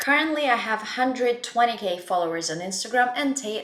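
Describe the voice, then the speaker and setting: There is audible room echo around a woman who speaks with a non-native accent. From Russia. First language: Russian. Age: 20s. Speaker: blogger and life coach. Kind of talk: casual self-introduction to camera.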